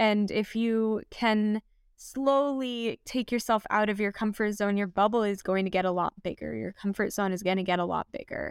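In a very clean recording with a silent background and a dry, close sound with no echo, a woman with an American accent uses an ordinary speaking voice at a medium pitch, fairly even in intonation and with hardly any pauses. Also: moderate pace. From US, Los Angeles (Southern California). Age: 20s. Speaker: wilderness guide and van lifer. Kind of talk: casual interview chat.

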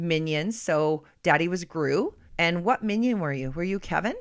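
A woman with a plain, everyday voice and a fairly low pitch talks at a fairly slow pace. The recording is very clean, with a silent background. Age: 40s. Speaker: podcast co-host and mother. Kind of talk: casual chat.

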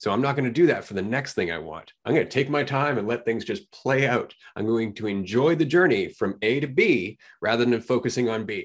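A man at medium pitch in an ordinary speaking voice, fairly quick, with lively intonation. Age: 40s. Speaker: podcast host. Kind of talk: casual chat.

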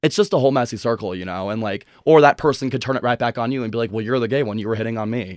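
In a very clean recording with a silent background and a dry, close sound with no echo, a man with an American accent talks at a medium pitch with ordinary pitch variation. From US Midwest, Chicago suburbs. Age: 20s. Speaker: guest sharing personal story. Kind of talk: casual interview.

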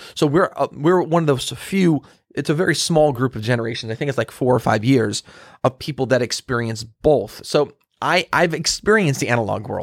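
In a plain, everyday voice, a man speaks at a medium pitch with lively intonation. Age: 40s. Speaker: podcast host on marketing and business. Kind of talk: solo monologue podcast. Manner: casual, with many fillers and restarts.

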